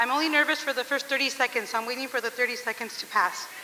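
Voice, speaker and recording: Over noticeable background noise, a woman uses a raised, projected voice, high-pitched with ordinary pitch variation, at a fairly quick pace. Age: 40s. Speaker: teacher. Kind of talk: speech read aloud. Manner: loud.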